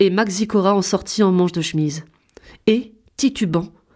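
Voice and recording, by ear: Natural-voiced reading aloud, quiet surroundings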